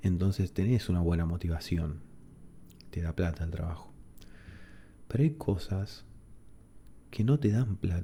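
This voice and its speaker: With an Argentine accent, a man speaks at a fairly slow pace in a very deep, low voice that is dark, mellow and somewhat breathy, relaxed in tone, with ordinary pitch variation and long, frequent pauses. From Argentina. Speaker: ASMR creator. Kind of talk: casual talk to camera, relaxed chat. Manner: soft-spoken, relaxed, reflective.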